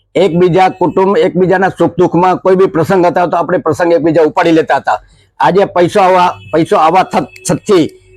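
A man speaks in a high pitch with fairly even intonation. His loudness stays very even throughout. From Kutch, Gujarat (Vagad). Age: 70s. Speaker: shopkeeper and community worker. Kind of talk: interview.

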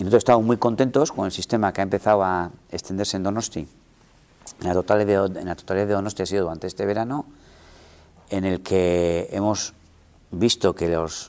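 The delivery moves at a fairly quick pace with fairly even intonation. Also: man. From Basque Country, Gipuzkoa (Igeldo, San Sebastián). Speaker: mayor. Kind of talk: interview. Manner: halting. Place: office. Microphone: lapel.

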